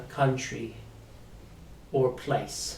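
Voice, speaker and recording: A man speaks at a very slow pace in a somewhat breathy voice. Room echo is audible. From South Africa. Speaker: English teacher. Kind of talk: live online lesson.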